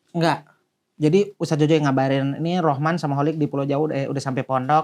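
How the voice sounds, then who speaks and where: Against a quiet background, a man with a fairly high pitch talks very fast with fairly even intonation. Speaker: guest recounting pesantren life. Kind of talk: casual chat.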